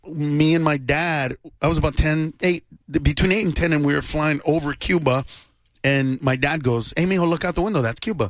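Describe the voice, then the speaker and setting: A man with an ordinary speaking voice, fairly high-pitched, at a moderate pace, with ordinary pitch variation and very even loudness. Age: 30s. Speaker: stand-up comedian. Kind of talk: casual chat. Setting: studio.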